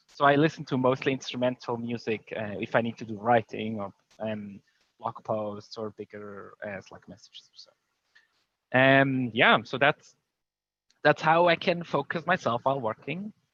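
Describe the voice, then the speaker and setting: A speaker with a non-native accent talks at a moderate pace with ordinary pitch variation and a bright, sharp tone. The loudness swings widely, and the sound is dry and close with no echo. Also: man, medium pitch for a man. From Switzerland. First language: not English. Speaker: conference speaker, tech company leader. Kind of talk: conference talk. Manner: hesitant, many fillers.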